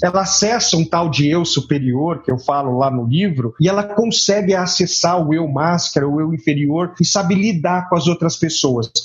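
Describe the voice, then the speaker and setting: A man speaks at a moderate pace in a high voice with lively intonation, over noticeable background noise. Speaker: author and business consultant. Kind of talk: interview.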